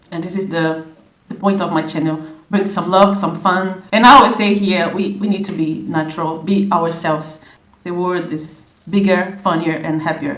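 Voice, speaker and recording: A woman with a Brazilian Portuguese accent, fairly low in pitch, at a moderate pace, with audible room echo. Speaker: language content creator. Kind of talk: casual vlog introduction. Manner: animated; halting, many repetitions.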